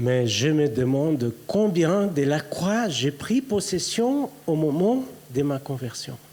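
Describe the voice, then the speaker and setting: Against noticeable background noise, a man with a Brazilian accent talks at a very slow pace with a fairly high pitch and very wide pitch swings. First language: Portuguese (speaking French). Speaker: preacher. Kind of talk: sermon. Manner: halting.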